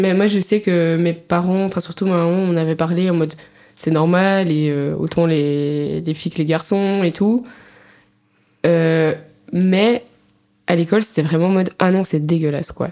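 A woman's fairly low voice at a fairly slow pace, with fairly even intonation, very even loudness and long, frequent pauses. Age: 20s. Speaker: student podcast co-host. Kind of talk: casual chat.

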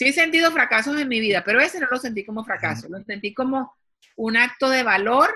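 This woman talks in a high voice. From Colombia. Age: 50s. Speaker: TV executive producer and author. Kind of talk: interview.

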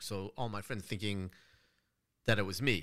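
In a very clean recording with a silent background, a man's fairly low voice has a bright, sharp tone and a moderate pace. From Los Angeles, California. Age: 30s. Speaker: gun rights advocate and author. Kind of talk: casual chat.

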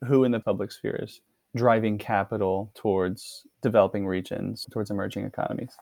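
A man with an American accent talks at a fairly quick pace in a normal speaking voice, his pitch fairly low. His intonation stays fairly even, and the background is quiet. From Texas, Dallas. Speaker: graduate student and army veteran. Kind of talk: interview.

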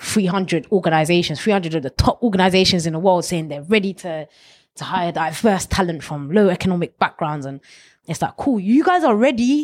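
Speaking fairly quickly with a London accent, a woman uses a fairly low pitch and ordinary pitch variation on a very clean recording with a silent background. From London, Ilford. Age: 20s. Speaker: former bank manager, youth mentor. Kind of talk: interview.

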